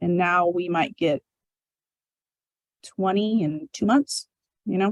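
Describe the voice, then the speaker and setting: The woman's pitch varies in an ordinary way. Her sound is dry and close, without echo. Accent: American. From US Pacific Northwest (southwest Washington). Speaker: corrections director. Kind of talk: public talk with Q&A. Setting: museum talk with live and online audience. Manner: fast.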